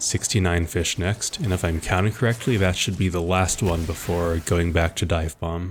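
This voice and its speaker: A man speaks at a moderate pace with hardly any pauses and fairly even intonation. His voice is very deep, low in pitch and somewhat breathy. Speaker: gaming video creator. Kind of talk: gameplay walkthrough commentary. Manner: low energy.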